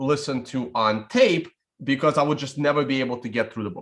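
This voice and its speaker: A man is speaking. He talks with a Russian accent. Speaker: bitcoin trading YouTuber. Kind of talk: casual livestream commentary. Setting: live stream with screen share. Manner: casual, rambling with frequent fillers.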